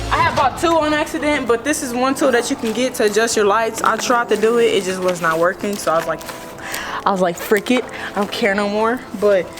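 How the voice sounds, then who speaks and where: Over music in the background, a woman talks at a fairly quick pace and fairly high pitch, with audible room echo. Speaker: car vlogger. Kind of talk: casual vlog walkthrough. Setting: garage. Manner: halting, self-correcting.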